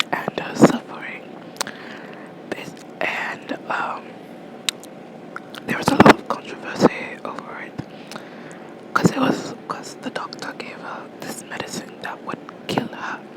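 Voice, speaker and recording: Whispering at a fairly slow pace, with long, frequent pauses and noticeable background noise. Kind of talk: ASMR whisper ramble about a video game; casual talk to camera. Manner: whispered.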